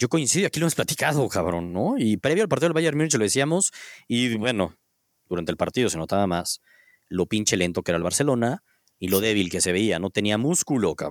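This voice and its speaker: A man in a Mexican accent talks fairly quickly at a fairly low pitch with very wide pitch swings, on a very clean, dry, close recording with a silent background and no echo. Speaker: sports podcast host. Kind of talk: casual chat.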